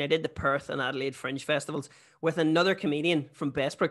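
A man with a Northern Irish accent, a bright, sharp tone and fairly high pitch, fairly even intonation at a fairly quick pace, against a quiet background. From Northern Ireland. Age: 30s. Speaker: comedian. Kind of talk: casual chat. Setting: video call.

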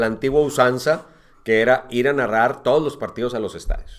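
This man has an ordinary speaking voice at a medium pitch. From northern Mexico (Monterrey), born in Uruguay. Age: 50s. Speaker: sports commentator. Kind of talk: casual chat.

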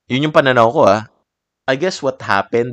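Heard over a quiet background, the voice has a relaxed, calm tone and lively intonation. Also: man. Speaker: art podcast host and artist. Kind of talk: solo podcast monologue.

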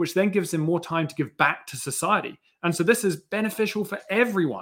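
Very fast and with lively intonation, a man speaks with a slight New Zealand accent on a very clean recording with a silent background. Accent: slight New Zealand British. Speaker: education project founder, former mountain bike instructor. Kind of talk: casual panel chat.

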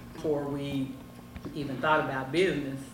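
Over music in the background, a woman speaks at a very deep, low pitch with fairly even intonation, and room echo is audible. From Tennessee, Memphis. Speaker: cigar shop owner. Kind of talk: casual interview. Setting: cigar lounge.

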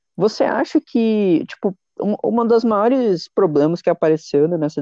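Against a quiet background, the speaker goes at a moderate pace. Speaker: podcast host. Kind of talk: casual chat.

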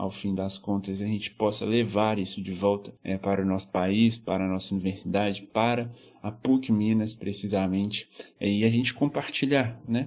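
With fairly even intonation and a fairly low pitch, a man talks at a moderate speed. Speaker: law student on exchange. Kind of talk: recorded testimony. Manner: hesitant, with fillers.

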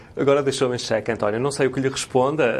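A man talks at a very fast pace. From Portugal, Guimarães area. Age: 40s. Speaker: local election candidate. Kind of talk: interview. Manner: halting.

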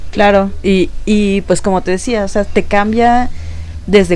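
Someone speaks at a very slow pace while music plays in the background. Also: woman. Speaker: podcast co-host. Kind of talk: casual chat.

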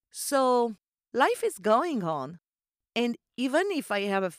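With a French accent, a woman speaks in an animated tone at a fairly high pitch, her voice making very wide pitch swings. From Corsica. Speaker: podcast host and voiceover artist. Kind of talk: solo podcast monologue, casual chat. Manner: animated, friendly.

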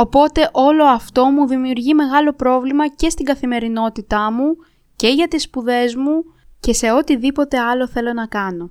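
At a moderate pace, the voice comes through a very clean recording with a silent background and a dry, close sound with no echo. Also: woman, high pitch for a woman, ordinary pitch variation. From Moldova, moved to Greece around age 10. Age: 20s. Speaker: podcast host, university student. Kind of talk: solo podcast monologue.

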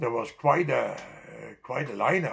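A man speaks with a Dutch accent and ordinary pitch variation. His voice is somewhat breathy. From Netherlands. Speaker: immigrant storyteller. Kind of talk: life story interview.

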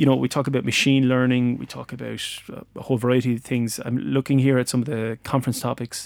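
A man speaks with an Irish accent at a medium pitch and fairly even intonation. The sound is dry and close, with no echo. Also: very clean recording, silent background. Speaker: podcast host and lecturer. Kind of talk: casual interview chat. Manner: jokey, light-hearted.

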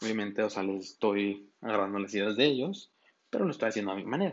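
A man is talking at a fairly quick pace. His pitch sits fairly low. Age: 20s. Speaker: podcast host. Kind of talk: casual monologue. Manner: halting.

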